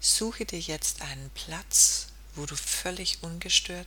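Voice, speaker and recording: A woman speaks at a very slow pace in a soothing, calm tone. There is noticeable background noise. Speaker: podcast host and meditation guide. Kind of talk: guided meditation. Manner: slow, soothing, calm; gentle, hypnotic, with long pauses.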